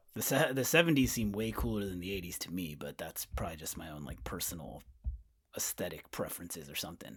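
A man's very deep, low voice with vocal fry and an American accent, very wide pitch swings, and a very fast pace. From Winters, California (near Sacramento). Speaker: podcast host, guest. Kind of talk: casual chat.

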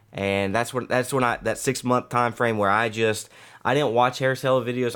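Against a silent background in a very clean recording, a man with a medium-pitched voice talks very fast with fairly even intonation. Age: 30s. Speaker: military instructor and streamer. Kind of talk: casual chat.

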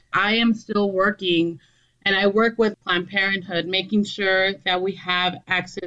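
In an American accent, a woman speaks at a fairly slow pace with a medium pitch and fairly even intonation. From southern Arizona border town. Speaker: political candidate, community organizer. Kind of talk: interview. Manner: halting, with fillers.

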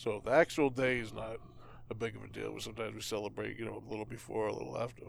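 Speaking at a very fast pace, a man's voice shows big swings in loudness. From Boston area, US. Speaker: podcast co-host. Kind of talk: casual chat.

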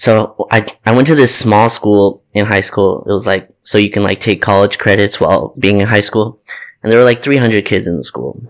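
A man with an American accent talks at a moderate pace in a fairly low pitch. It is an ordinary speaking voice on a very clean recording with a silent background. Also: ordinary pitch variation. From Torrance, Los Angeles area, California. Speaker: basketball podcast co-host. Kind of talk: casual chat.

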